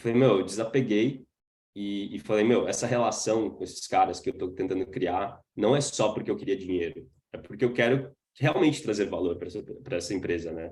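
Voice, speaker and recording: At a fairly quick pace, a man speaks in a fairly low, somewhat breathy voice with lively intonation. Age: 20s. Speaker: startup founder. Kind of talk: webinar talk. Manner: casual, filler-heavy.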